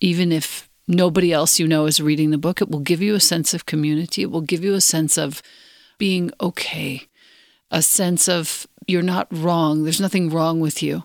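A woman with an unremarkable speaking voice talks at a moderate pace, her fairly low pitch carried on fairly even intonation. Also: very clean recording, silent background. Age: 50s. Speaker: podcast host. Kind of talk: interview.

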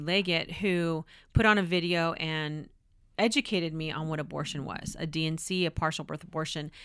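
With an American accent and an ordinary speaking voice, a woman speaks at a moderate pace and a fairly low pitch on a very clean recording with a silent background. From California. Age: 40s. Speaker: police spokesperson and pro-life speaker. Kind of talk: interview conversation.

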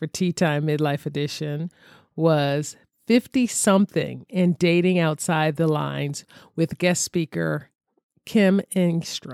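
Her very deep, low voice moves at a very slow pace with ordinary pitch variation, and the woman's recording sounds dry and close with no echo. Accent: American. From Philadelphia, US. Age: 50s. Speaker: podcast host. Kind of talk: casual monologue.

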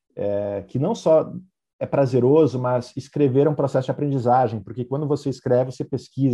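At a fairly quick pace, a man speaks with a medium pitch in a dark, mellow, somewhat breathy tone. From southern Brazil, Vacaria (Rio Grande do Sul). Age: 30s. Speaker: entrepreneur and author. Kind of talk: interview.

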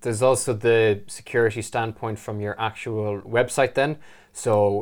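With an Irish accent, a man speaks at a fairly low pitch in a flat monotone at a moderate pace, in a very clean recording with a silent background. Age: 20s. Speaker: web designer. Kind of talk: casual chat.

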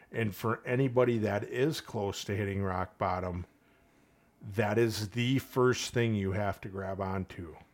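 An unremarkable speaking voice from a man with an American accent, fairly low in pitch, with fairly even intonation at a fairly slow pace, on a very clean recording over a silent background. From Saint Paul, Minnesota. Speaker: police officer. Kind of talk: casual interview conversation.

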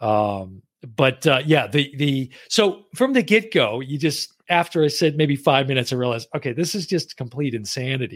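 Here a man with an ordinary speaking voice talks at a moderate pace, his fairly high pitch carried by lively intonation, with hardly any pauses. The recording is very clean, with a silent background. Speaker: podcast host. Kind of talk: casual chat.

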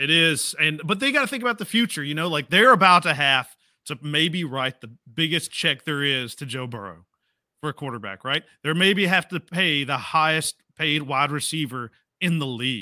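A man with a fairly high pitch and a bright, sharp tone speaks at a moderate pace with lively intonation, in a dry, close sound with no echo on a very clean recording with a silent background. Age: 40s. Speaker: sports podcast co-host. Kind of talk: casual chat. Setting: home studio. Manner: animated.

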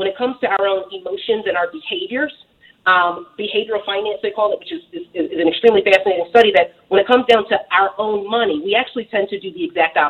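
A woman with an American accent talks at a very fast pace with lively intonation, big swings in loudness, and hardly any pauses. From Philadelphia, US. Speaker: real estate investor and author. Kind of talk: radio interview. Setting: phone call.

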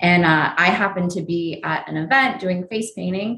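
Here is a plain, everyday voice with an American accent. It moves at a moderate pace with ordinary pitch variation. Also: woman. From New Jersey and Pennsylvania, US. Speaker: face painter and airbrush tattoo business owner. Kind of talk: casual interview.

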